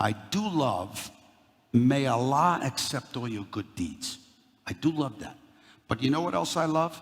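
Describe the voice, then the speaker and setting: A man talks in a New York accent at a fairly slow pace. His pitch is fairly high, and his intonation is lively. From Brooklyn, New York. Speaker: company CEO, guest speaker. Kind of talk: talk to a university audience. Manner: animated.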